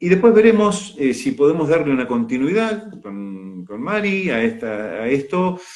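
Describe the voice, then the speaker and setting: A man speaks with an Argentine accent at a high pitch. His pace is fairly slow, and his pitch swings very widely. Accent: Rioplatense Argentine Spanish. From Argentina, Mar del Plata. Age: 70s. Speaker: retired pediatrician and holistic coach. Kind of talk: casual live chat. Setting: live video stream. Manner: halting, many fillers.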